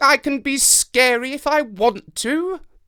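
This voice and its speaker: A put-on character voice, high in pitch, delivers lines at a fairly slow pace. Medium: read story.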